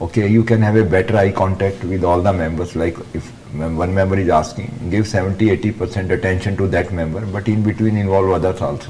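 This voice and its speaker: A man's very fast, very deep and low voice with an Indian accent, fairly even intonation, hardly any pauses and noticeable background noise. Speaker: interview board member. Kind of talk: feedback on mock interview.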